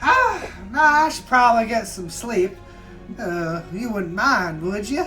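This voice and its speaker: A put-on character voice at a fairly high pitch is raised and projected. Music plays clearly in the background. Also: fairly slow pace. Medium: actual play. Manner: folksy, easygoing.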